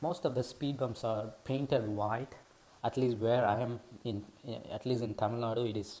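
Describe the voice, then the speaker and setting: With a non-native accent, the speech moves at a moderate pace. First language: not English. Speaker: driving video creator. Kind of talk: tutorial. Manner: halting, many fillers.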